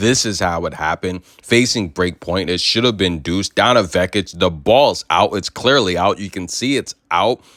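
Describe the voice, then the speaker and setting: The speaker sounds animated, talking at a moderate pace with hardly any pauses and ordinary pitch variation, in a very clean, dry, close recording with a silent background and no echo. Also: man, very deep, low pitch for a man. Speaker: sports commentary host. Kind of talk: sports news commentary.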